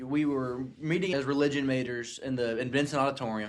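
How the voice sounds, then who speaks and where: On a very clean recording with a silent background, a man with a Southern US accent speaks at a fairly high pitch with ordinary pitch variation. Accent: southern drawl. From US South. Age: 20s. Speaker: podcast host. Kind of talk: casual chat. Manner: animated.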